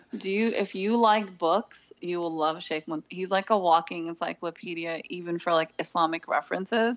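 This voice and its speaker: A woman with a Californian accent, fairly low in pitch, at a moderate pace with hardly any pauses and fairly even intonation. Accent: Californian American. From Southern California. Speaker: seminary graduate, graphic designer and mother. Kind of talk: interview conversation.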